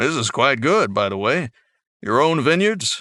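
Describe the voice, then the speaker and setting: A man puts on a character voice at a fairly high pitch. The background is quiet. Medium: read story. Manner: haughty.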